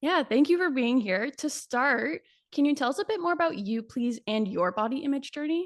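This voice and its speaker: A woman's high voice at a moderate pace, with very wide pitch swings. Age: 20s. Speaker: podcast host. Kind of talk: podcast interview.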